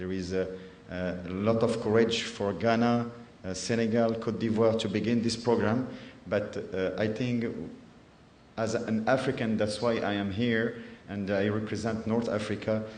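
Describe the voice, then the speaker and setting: With noticeable background noise and audible room echo, a man talks at a moderate pace and medium pitch in monotone, flat intonation. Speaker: cardiac surgeon. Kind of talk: conference presentation. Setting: conference in Ghana. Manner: halting, many hesitations.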